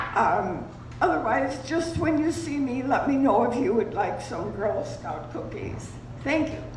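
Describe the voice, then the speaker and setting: With noticeable background noise and audible room echo, a woman with a high pitch speaks at a fairly slow pace, her intonation lively. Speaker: retirement community resident. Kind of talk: community announcement. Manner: halting. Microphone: too quiet.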